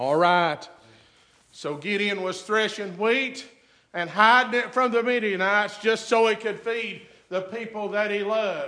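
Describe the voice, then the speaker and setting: A man with an American accent uses a raised, projected voice, high in pitch with ordinary pitch variation, at a fairly slow pace. Noticeable background noise and audible room echo are present. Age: 50s. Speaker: pastor. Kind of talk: sermon. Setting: church.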